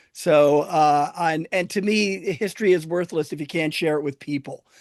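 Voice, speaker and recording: A plain, everyday voice with an American accent, moderate pace and ordinary pitch variation, against a quiet background. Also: man. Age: 60s. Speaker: historian and tour guide. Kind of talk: casual chat.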